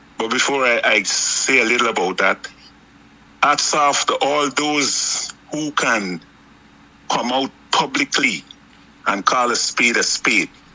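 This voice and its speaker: A man's very slow speech at medium pitch, with ordinary pitch variation, long and frequent pauses, and noticeable background noise. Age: 60s. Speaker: political commentator. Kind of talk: political talk.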